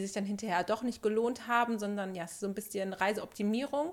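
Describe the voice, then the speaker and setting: Her voice is a plain, everyday voice with fairly high pitch. The woman talks at a fairly quick pace with fairly even intonation. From Germany, Sauerland. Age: 30s. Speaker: podcast co-host, film producer. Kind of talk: casual chat. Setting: studio, seated together.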